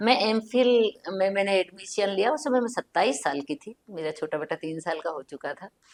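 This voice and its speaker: A woman with an Indori accent speaks at a medium pitch with lively intonation and big swings in loudness. She has hardly any pauses, and the sound is dry and close with no echo. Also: moderate pace. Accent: Indori Hindi. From central India, Indore. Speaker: writer. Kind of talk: casual chat.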